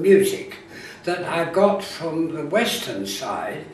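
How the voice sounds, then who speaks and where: The speaker talks at a very slow pace. Background noise is noticeable throughout. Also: man. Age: 80s+. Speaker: music theorist. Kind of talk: interview answer.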